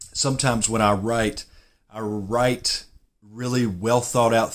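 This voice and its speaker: A man with a Southern US accent, medium pitch and fairly even intonation. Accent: southern US drawl. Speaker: golf YouTuber. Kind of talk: casual vlog, partly reading his own written reply aloud. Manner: reading aloud from typed text; hesitant, with fillers.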